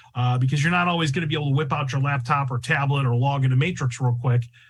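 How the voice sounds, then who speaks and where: A man's animated, fairly high voice at a very fast pace, with audible room echo. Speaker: real estate software trainer. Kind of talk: online training webinar. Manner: loud.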